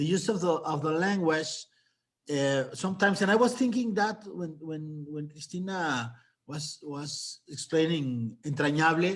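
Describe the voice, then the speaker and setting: A man with a Mexican accent talks at a fairly slow pace and a fairly high pitch, with ordinary pitch variation. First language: Spanish. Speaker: novelist. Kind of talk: panel discussion. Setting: video call. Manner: halting.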